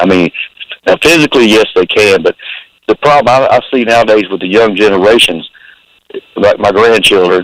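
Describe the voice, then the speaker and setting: Dry and close with no echo, this voice has an American accent, very even loudness and ordinary pitch variation, moving at a fairly quick pace broken by long, frequent pauses. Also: man, medium pitch for a man. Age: 60s. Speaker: caller. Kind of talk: casual chat.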